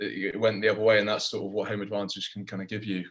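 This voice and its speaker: Talking at a very fast pace, this man has a fairly low pitch. He speaks with a strong English accent. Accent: thick English. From England. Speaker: professional rugby player. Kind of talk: casual chat.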